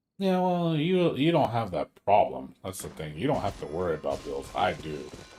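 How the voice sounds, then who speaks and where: Music plays in the background. A man speaks at a moderate pace with very wide pitch swings. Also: medium pitch for a man. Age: 40s. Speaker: gaming streamer. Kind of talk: casual chat. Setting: home. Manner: casual.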